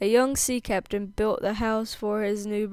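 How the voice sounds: Delivered in a natural reading voice, the speech keeps a fairly even intonation.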